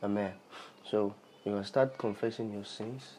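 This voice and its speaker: With a Nigerian accent, a man speaks at a moderate pace in a fairly low voice that has a dark, mellow tone. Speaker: podcast host and preacher. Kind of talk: sermon / Bible teaching.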